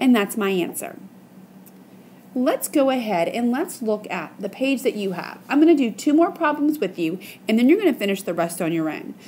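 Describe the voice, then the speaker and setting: A woman speaks at a fairly high pitch. Her voice makes very wide pitch swings. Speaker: teacher. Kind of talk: tutorial. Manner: fast.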